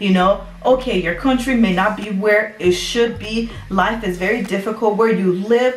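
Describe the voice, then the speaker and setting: Sounding animated, a woman speaks at a moderate pace in a room with audible echo and light background noise. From Liberia. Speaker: YouTuber; vlogger. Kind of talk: storytime vlog. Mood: emotional, earnest storytelling. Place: home room. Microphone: phone near.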